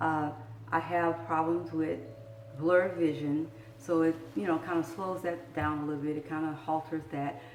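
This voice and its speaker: A woman with a Southern US accent, very deep and low in pitch, at a moderate pace with fairly even intonation, amid noticeable background noise. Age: 60s. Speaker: vlogger sharing health experience. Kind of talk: personal video blog, encouraging talk.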